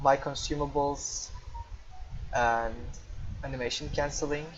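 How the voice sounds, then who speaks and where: A man's fairly high, flat, monotone voice in a Turkish accent at a fairly slow pace. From Turkey. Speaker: gamer. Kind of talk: tutorial. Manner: improvised, with hesitations.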